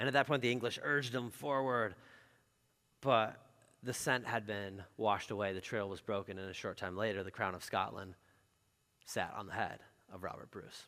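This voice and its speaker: A man speaks with a bright, sharp tone in a fairly low pitch. His pitch variation is ordinary and his pace moderate. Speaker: pastor. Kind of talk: sermon. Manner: casual, conversational.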